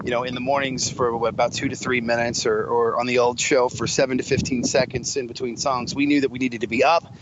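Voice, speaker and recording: Medium-pitched male voice, very fast with hardly any pauses, flat monotone delivery, noticeable background noise. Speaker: radio DJ. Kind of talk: casual interview chat. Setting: phone call.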